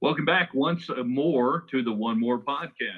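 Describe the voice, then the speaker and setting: With an American accent, a man speaks in a normal speaking voice at medium pitch, his intonation lively. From West Texas. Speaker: podcast host. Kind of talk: casual sports betting podcast chat.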